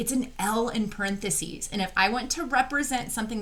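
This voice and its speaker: Amid audible room echo, a woman with an American accent speaks in an animated tone at a fairly quick pace. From Texas. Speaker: chemistry teacher. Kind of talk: lecture.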